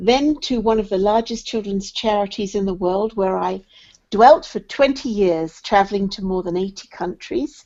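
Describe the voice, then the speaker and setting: With a British accent, a woman speaks in a medium pitch at a fairly slow pace. Her pitch varies in an ordinary way. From England. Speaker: charity development director. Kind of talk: interview.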